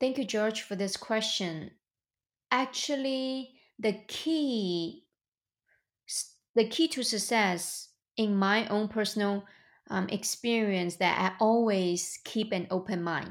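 A woman with a Chinese accent, fairly high in pitch, at a very slow pace with ordinary pitch variation, on a very clean recording with a silent background. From China. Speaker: real estate investor and entrepreneur. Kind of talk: interview.

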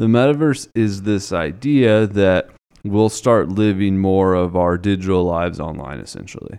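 Here is an ordinary speaking voice from a man at fairly low pitch. He talks at a fairly slow pace. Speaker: financial planner, podcast co-host. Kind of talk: casual chat about personal finance.

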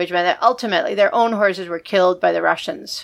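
Over a silent background in a very clean recording, a woman with a normal speaking voice speaks at medium pitch with ordinary pitch variation. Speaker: podcast co-host. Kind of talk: history documentary narration, read aloud from script. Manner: measured, steady, even-paced storytelling read.

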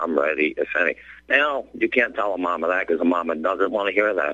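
Recorded with a dry, close sound with no echo, a man with an American accent speaks at a fairly quick pace. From West Virginia. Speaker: caller, cancer survivor. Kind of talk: radio call-in.

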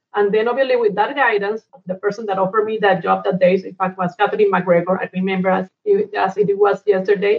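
At a fairly quick pace, a woman speaks with a Colombian accent and fairly even intonation. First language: Spanish. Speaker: energy company executive. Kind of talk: interview.

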